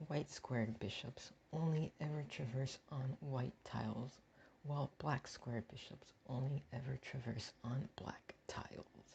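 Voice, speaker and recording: Soft-spoken delivery at a fairly slow pace. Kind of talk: comedic tier-list commentary. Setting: home recording without a proper mic. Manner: soft-spoken, quiet.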